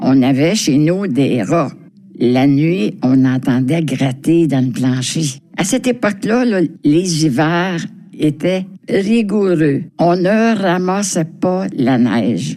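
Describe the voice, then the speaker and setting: A woman talks at a very slow pace with very even loudness. Her pitch is very deep and low, yet it swings very widely. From Quebec, Montreal (Villeray). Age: 90s. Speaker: senior resident sharing memories. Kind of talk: personal reminiscence.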